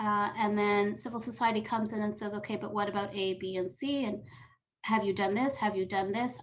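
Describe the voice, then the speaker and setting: A woman speaks in a fairly high, somewhat breathy voice with fairly even intonation. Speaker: UN program staff presenter. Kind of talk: webinar presentation. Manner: fast.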